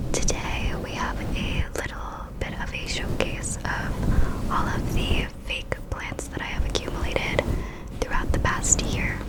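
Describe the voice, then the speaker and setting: Noticeable background noise accompanies a fairly slow whisper. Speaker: ASMR creator. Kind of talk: ASMR show and tell. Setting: home recording, fluffy-covered USB mic. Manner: whispered, soft-spoken.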